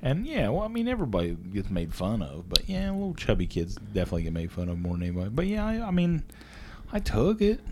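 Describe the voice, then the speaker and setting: A man with an Appalachian accent, at a very fast pace. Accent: Appalachian Ohio. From southern Ohio, Jackson County. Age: 40s. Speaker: podcast co-host, factory worker. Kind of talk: casual chat.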